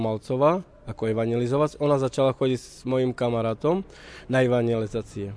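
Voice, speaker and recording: A man speaks fairly quickly in a medium pitch with a dark, mellow tone and fairly even intonation, the sound dry and close with no echo. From eastern Slovakia, Roma settlement near Bardejov. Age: 30s. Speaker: Roma lay missionary. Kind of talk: testimony.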